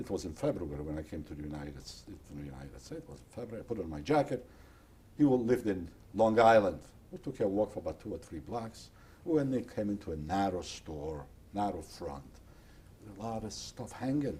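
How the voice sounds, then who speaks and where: This man speaks at a very fast pace in a fairly low, somewhat breathy voice with a dark, mellow tone, very wide pitch swings and big swings in loudness. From Poland. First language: Polish or Yiddish. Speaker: Holocaust survivor. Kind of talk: oral history interview.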